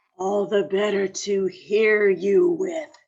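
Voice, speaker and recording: A put-on character voice growls at a fairly high pitch and a very slow pace. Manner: growling, menacing.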